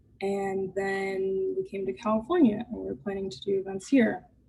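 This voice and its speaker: A woman's somewhat breathy, dark, mellow voice at medium pitch, with ordinary pitch variation and a fairly slow pace. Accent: American. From coastal Maine, US. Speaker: chef and artist. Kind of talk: virtual talk.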